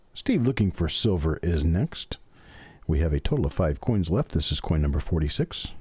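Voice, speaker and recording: Speaking with an American accent, a man has a dark, mellow, somewhat breathy tone and lively intonation. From US South, Memphis Tennessee. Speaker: coin collector live streamer. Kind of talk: live stream hobby commentary. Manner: fast; folksy, chatty.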